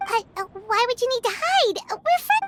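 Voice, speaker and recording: A squeaky put-on character voice at an extremely high pitch speaks at a moderate pace. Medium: video game. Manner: hesitant, stammering.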